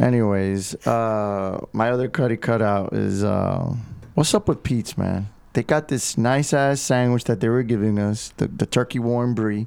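In a Miami Cuban accent, the speaker talks at a fairly slow pace with ordinary pitch variation on a very clean recording against a silent background. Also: man, medium pitch for a man. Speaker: podcast guest.

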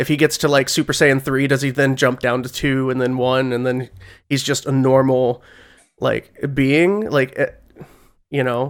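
On a very clean recording with a silent background, a man speaks at medium pitch and a moderate pace, with fairly even intonation and a plain, everyday voice. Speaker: podcast host. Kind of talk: casual chat.

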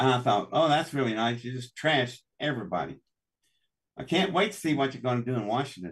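Speaking very fast with an Appalachian accent, a man uses a medium pitch, lively intonation and a somewhat breathy voice. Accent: Appalachian American. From US South, West Virginia. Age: 60s. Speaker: inventor and engineer. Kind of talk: interview. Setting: live stream.

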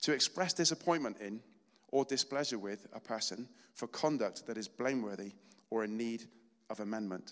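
Here a man speaks with a British accent. His pitch variation is ordinary. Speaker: lay preacher. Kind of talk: sermon. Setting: church. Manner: fast talker.

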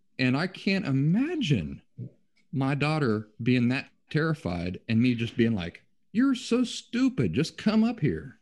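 Against a quiet background, a somewhat breathy man talks at a fairly slow pace with very wide pitch swings. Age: 40s. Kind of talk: casual chat.

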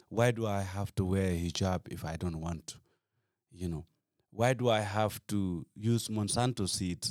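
With a Gambian accent, a man speaks at a moderate pace and a fairly low pitch with ordinary variation, taking long, frequent pauses, the sound dry and close with no echo. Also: very clean recording, silent background. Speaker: activist. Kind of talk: casual chat.

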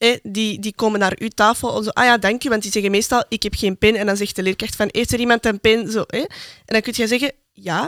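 On a very clean recording with a silent background and a dry, close sound with no echo, a woman with a Flemish accent speaks fairly quickly at a fairly high pitch with fairly even intonation. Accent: Flemish Dutch. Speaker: podcast co-host, student. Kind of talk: casual chat.

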